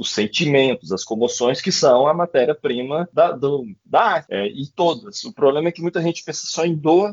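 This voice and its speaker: A man with a fairly high pitch and an ordinary speaking voice talks at a moderate speed. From Brazil, Goiás. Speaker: poet and writer. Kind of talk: casual interview chat.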